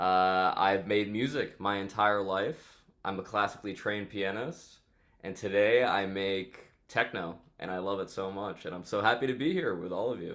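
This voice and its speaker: Over a very clean recording with a silent background, a man with a New York accent speaks at a moderate pace, his fairly low pitch showing ordinary variation. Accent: New York American. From New York City. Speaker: DJ and electronic music producer. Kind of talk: interview.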